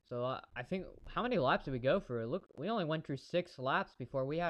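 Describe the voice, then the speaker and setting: A man speaks with lively intonation at a fairly high pitch. His pace is moderate. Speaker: amateur race commentator streamer. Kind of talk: live commentary. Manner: halting.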